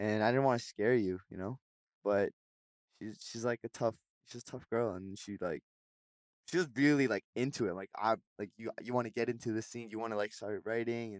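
On a very clean recording with a silent background and a dry, close sound with no echo, a man at medium pitch speaks with ordinary pitch variation, long, frequent pauses and big swings in loudness. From Vancouver, Canada. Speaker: singer. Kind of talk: casual chat. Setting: studio.

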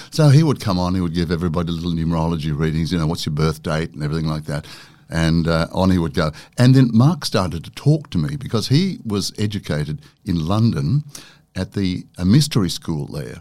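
Someone with an Australian accent talks at a fairly quick pace with lively intonation. The tone is dark and mellow. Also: man, very deep, low pitch for a man. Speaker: broadcaster and author. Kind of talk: casual interview chat. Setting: studio.

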